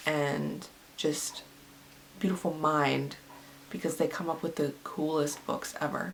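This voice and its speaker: A put-on character voice, raspy and mid-pitched, delivered at a moderate pace over light background noise. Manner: excited.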